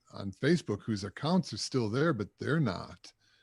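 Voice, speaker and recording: In an ordinary speaking voice, a man of medium pitch talks at a moderate pace with lively intonation, on a very clean recording with a silent background. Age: 60s. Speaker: musician. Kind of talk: casual chat. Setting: livestream.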